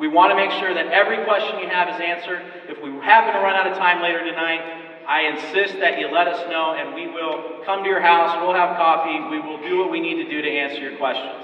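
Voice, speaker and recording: A man talks at a very fast pace in a high voice. Noticeable background noise and audible room echo fill the recording. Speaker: community group organizer presenting at public meeting. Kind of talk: public presentation to audience. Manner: animated.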